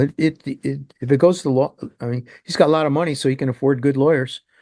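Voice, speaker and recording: Fairly even intonation and a fairly quick pace mark a plain, everyday voice. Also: man, dry, close sound with no echo. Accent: American. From Ohio (Cleveland suburb). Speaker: podcast co-host. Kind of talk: casual chat.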